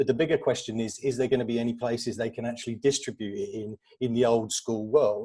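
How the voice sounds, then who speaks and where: A man with a London accent has a dark, mellow tone at medium pitch. He talks at a fairly quick pace. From England, northwest London. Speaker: media agency executive. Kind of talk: conference panel talk. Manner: halting, many fillers.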